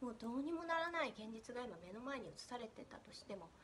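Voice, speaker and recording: Her voice is fairly high for a woman, and her intonation is lively. She speaks at a fairly quick pace. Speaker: spiritual coach. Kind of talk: casual monologue. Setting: at home. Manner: animated.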